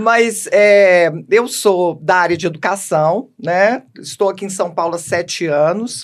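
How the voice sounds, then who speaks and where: A woman speaks at a very slow pace with medium pitch and ordinary pitch variation. She hardly pauses at all. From Minas Gerais, Belo Horizonte. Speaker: educational manager, book co-author. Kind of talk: podcast interview.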